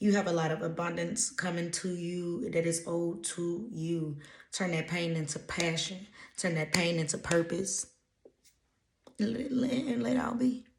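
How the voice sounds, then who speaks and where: Audible room echo surrounds speech delivered at a fairly slow pace with ordinary pitch variation. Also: woman. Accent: American. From US South, Louisiana. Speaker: intuitive spiritual reader. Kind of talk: casual channeled message reading. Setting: reading notes from a laptop.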